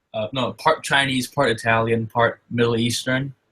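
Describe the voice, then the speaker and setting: The tone is bright and sharp, and the pace is fairly slow. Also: man. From Singapore. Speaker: hobby podcast co-host. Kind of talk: casual chat.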